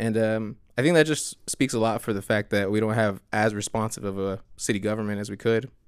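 A man's plain, everyday voice, fairly low and fairly quick, with fairly even intonation and hardly any pauses, on a very clean recording with a silent background. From US, Mexican-American family. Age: 30s. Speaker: city council candidate. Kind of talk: casual interview.

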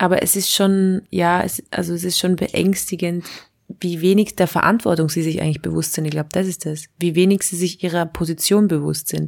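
This woman has an ordinary speaking voice with a fairly low pitch. Her intonation is fairly even and her pace moderate. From Austria. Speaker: satirist and slam poet. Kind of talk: casual chat. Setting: remote call.

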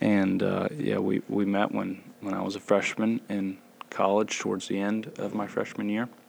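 A man with an American accent speaks in a plain, everyday voice at a fairly low pitch and moderate pace, with fairly even intonation. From US South, Gwinnett County, Georgia. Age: 20s. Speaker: seminary student and new church elder. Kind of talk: casual chat.

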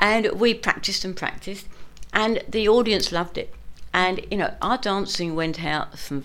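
Speaking with a southern English accent, a woman keeps a moderate pace. Her voice has a medium pitch and lively intonation. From London, England. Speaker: morris dancer. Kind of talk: interview. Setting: studio.

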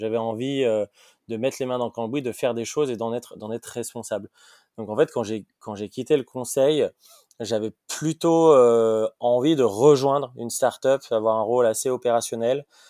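In a very clean, dry, close recording with no echo and a silent background, a man speaks at a moderate pace and medium pitch, with a dark, mellow tone and fairly even intonation. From France, Lyon. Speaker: startup co-founder and CEO. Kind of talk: interview. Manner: hesitant, many repetitions.

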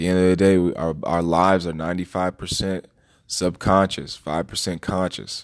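With an American accent, a man talks in a very deep, low voice using monotone, flat intonation. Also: very clean recording, silent background. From DC, Maryland, Virginia area. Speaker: podcast host. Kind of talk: solo monologue commentary. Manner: halting, many fillers.

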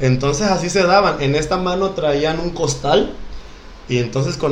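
Over noticeable background noise and audible room echo, a man speaks at a moderate pace. His pitch is fairly high, with ordinary variation. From Mexico, Acapulco (Guerrero coast). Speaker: professional dancer. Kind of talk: casual chat.

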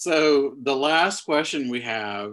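Recorded very cleanly over a silent background, a man's bright, sharp tone sits at medium pitch with ordinary pitch variation. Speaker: podcast co-host. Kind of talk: interview, professional chat.

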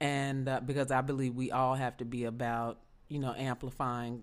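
Her pitch very deep and low, a woman speaks at a moderate pace in a monotone, flat intonation. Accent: Southern US. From US South, Memphis. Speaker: podcast host. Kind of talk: interview.

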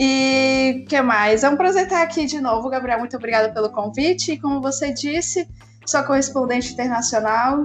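Over music in the background, a woman talks at a high pitch with ordinary pitch variation. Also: moderate pace. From Brazil. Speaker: 3D artist. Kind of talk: casual chat. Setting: remote call. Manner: animated.

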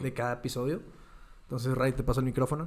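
A man speaks with a Mexican accent. His pitch sits in the medium range. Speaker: podcast co-host. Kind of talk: casual chat. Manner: soft-spoken.

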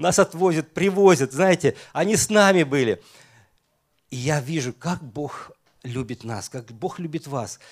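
A man's plain, everyday voice, fairly high in pitch, with lively intonation at a fairly slow pace, in a very clean recording with a silent background and a dry, close sound with no echo. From Estonia. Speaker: pastor. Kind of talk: sermon.

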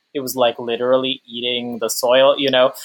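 An unremarkable speaking voice: a man with an American accent, medium pitch, and a moderate pace. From US Northeast, Long Island. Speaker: climate activist. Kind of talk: interview conversation.

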